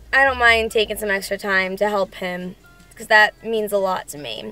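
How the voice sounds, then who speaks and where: Faint music plays behind a woman speaking at a moderate pace. Her intonation is fairly even, and the sound is dry with no echo. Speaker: fitness vlogger. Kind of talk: casual vlog chat. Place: car. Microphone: phone near.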